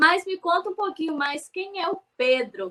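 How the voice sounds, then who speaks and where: A woman's raised, projected voice with a bright, sharp tone and ordinary pitch variation. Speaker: livestock program host. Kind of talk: scripted presentation; interview. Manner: animated.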